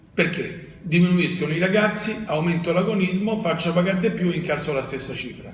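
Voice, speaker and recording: Over noticeable background noise, a man with a high voice speaks at a fairly quick pace with hardly any pauses. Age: 70s. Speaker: tennis coach. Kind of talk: interview. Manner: animated.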